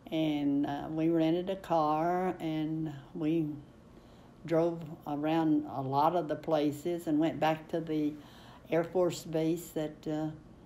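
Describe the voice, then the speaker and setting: In a room with audible echo, a woman talks very slowly in a very deep, low, dark and mellow voice with monotone, flat intonation. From Kentucky, eastern. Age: 90s. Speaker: oral history interviewee. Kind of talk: oral history interview. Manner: halting, many fillers.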